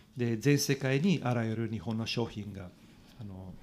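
Man at a medium pitch with an Italian accent, fairly slow pace and ordinary pitch variation, on a very clean recording with a silent background. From Italy. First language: Italian (speaking Japanese). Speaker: cycling journalist. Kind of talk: casual interview. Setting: studio. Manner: animated.

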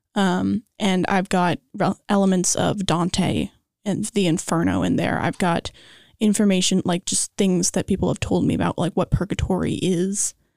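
On a very clean recording with a silent background and a dry, close sound with no echo, a woman with an American accent speaks in a flat monotone with vocal fry. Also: medium pitch for a woman, moderate pace. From Los Angeles. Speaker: student songwriter and actress. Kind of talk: casual interview.

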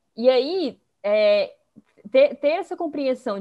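This woman's voice rises and falls in very wide pitch swings. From Fortaleza, Brazil. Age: 20s. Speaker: economist and investing educator. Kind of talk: podcast interview.

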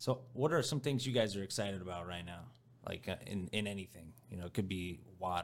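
This man has a plain, everyday voice with an American accent, fairly low pitch and ordinary pitch variation. He talks at a fairly quick pace on a very clean recording with a silent background. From rural US farmland area. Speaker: podcast host. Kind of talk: casual chat. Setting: rented podcast studio.

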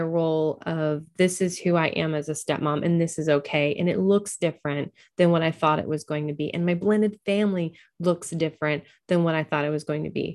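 Here a woman with a normal speaking voice and an American accent talks at a fairly low pitch and moderate pace. Her intonation is fairly even, and the recording is very clean, with a silent background. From US Pacific Northwest, Oregon. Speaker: podcast host and social worker. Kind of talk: interview.

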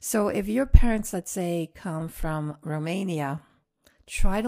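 Dark and mellow in tone, a woman's fairly low voice moves with lively intonation. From northern France. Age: 60s. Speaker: host's mother. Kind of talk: life story interview.

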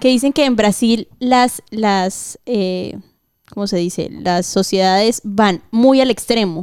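Speaking very slowly, a woman with a fairly high pitch uses ordinary pitch variation. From Colombia. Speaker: guest. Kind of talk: casual chat.

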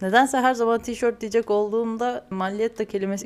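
A woman speaks at a fairly quick pace with a fairly high pitch. Her intonation stays fairly even. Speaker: podcast host, pastry chef. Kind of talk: casual monologue. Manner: hesitant, with laughs.

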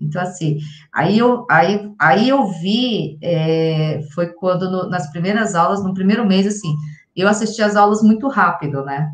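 A woman's somewhat breathy voice at medium pitch, fairly slow, with ordinary pitch variation and audible room echo. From São Paulo, Brazil. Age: 40s. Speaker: salesperson, course student. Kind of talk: interview testimony.

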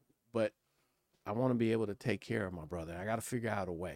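A man with an American accent and an ordinary speaking voice, fairly low in pitch, with ordinary pitch variation at a fairly quick pace, dry and close with no echo, on a very clean recording with a silent background. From Pasadena, California. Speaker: political operative. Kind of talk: panel discussion.

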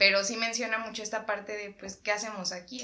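Noticeable background noise sits behind a woman with a medium pitch. She talks at a very fast pace in a flat, monotone way. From Mexico. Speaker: podcast co-host. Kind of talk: casual chat.

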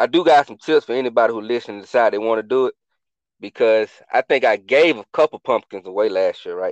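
A man with an American accent talks very fast at a medium pitch. His pitch varies in an ordinary way against a quiet background. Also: dry, close sound with no echo. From Atlanta, US South. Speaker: podcast founder, military veteran. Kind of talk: casual chat.

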